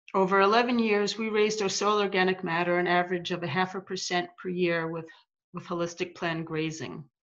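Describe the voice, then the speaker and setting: A woman with an American accent and a plain, everyday voice, medium in pitch, at a fairly quick pace with fairly even intonation, against a quiet background. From US. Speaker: farmer and grazing coach. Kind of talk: reading aloud. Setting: video call.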